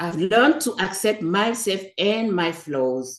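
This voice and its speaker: In a French accent, a woman speaks at a very slow pace. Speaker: public speaking club member. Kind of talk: prepared speech.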